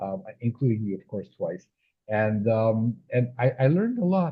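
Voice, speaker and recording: This is a man's voice. It comes across somewhat breathy. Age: 70s. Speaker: children's author and scientist. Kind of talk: casual interview chat. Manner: halting, many fillers and repetitions.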